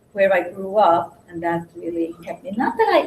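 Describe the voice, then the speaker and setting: A somewhat breathy woman talks at a moderate pace with lively intonation. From Hungarian-born, raised in Williamsburg, Brooklyn. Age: 60s. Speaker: speaker sharing life story. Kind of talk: personal testimony to a small group. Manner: halting.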